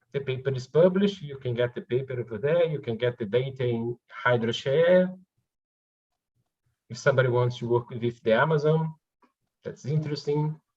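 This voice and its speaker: A somewhat breathy man with a Portuguese accent talks at a moderate pace and medium pitch, his pitch varying in an ordinary way, with long, frequent pauses. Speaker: researcher. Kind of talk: conference Q&A.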